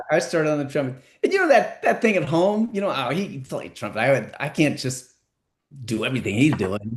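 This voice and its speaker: A somewhat breathy voice at a fairly quick pace, with very wide pitch swings. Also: man, fairly high pitch for a man. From San Francisco, California. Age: 60s. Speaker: entertainment lawyer and musician. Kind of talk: podcast interview.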